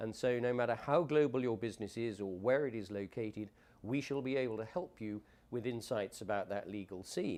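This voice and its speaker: A man with an English accent talks at a medium pitch and a fairly quick pace, using ordinary pitch variation. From England. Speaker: conference director. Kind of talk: promotional talk.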